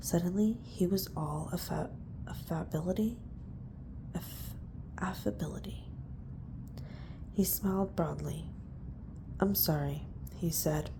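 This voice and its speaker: The speaker whispers, soft-spoken, at a fairly slow pace. Long, frequent pauses break up the speech. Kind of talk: audiobook-style reading of a novel. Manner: soft-spoken, whispered.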